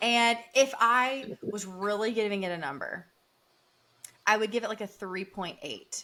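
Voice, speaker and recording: A woman with a Southern US accent speaks in an animated, bright and sharp tone at a fairly high pitch. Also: ordinary pitch variation, fairly slow pace, big swings in loudness. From US South. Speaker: podcast co-host, healthcare worker. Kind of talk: casual chat.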